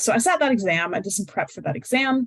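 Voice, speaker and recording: Somewhat breathy and at a fairly quick pace, a woman with an American accent speaks with very wide pitch swings in a dry, close sound with no echo. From United States. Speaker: high-scoring exam candidate giving tips. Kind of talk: webinar talk with Q&A. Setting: online webinar. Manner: casual, many fillers.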